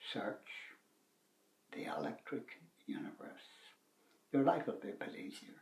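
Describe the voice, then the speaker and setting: Whispering in a Northern Irish accent, a man talks at a moderate pace with big swings in loudness and long, frequent pauses. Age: 70s. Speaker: retired man sharing views on YouTube. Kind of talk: casual monologue. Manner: halting.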